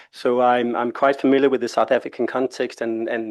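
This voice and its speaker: Here a man talks with a Danish accent at a fairly high pitch. Behind him, the background stays quiet. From Denmark. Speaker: international labour organisation expert. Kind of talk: presentation at a workshop. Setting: conference room with live audience. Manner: conversational, with filler hesitations.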